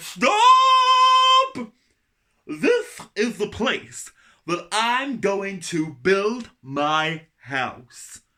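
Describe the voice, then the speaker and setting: Someone delivers a put-on character voice at a fairly high pitch and a very slow pace. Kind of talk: bedtime story. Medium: read story.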